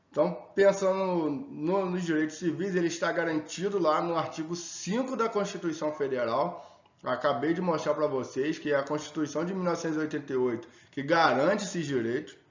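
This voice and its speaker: A man's fairly high voice with ordinary pitch variation, amid noticeable background noise and audible room echo. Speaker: sociology teacher. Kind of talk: lecture. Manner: fast; casual.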